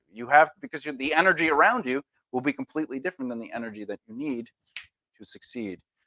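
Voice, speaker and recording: With an American accent, a man talks at a very fast pace in a fairly high, bright, sharp voice, his lively intonation and big swings in loudness caught in a dry, close sound with no echo. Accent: New York accent, noted by casting directors. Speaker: actor and self-help video host. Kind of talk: motivational talk. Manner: animated, self-interrupting.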